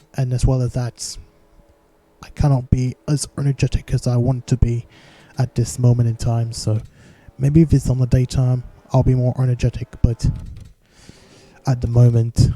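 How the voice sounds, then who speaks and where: Quiet and somewhat breathy, a man with a dark, mellow tone and medium pitch speaks at a moderate pace in a monotone, flat intonation, leaving long, frequent pauses in a dry, close sound with no echo. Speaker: sim racing league commentator. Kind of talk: live game commentary. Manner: quiet, low energy; occasional difficulty speaking.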